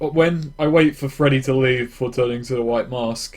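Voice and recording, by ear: A man speaks at a medium pitch. His tone is slightly mellow. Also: ordinary pitch variation, moderate pace.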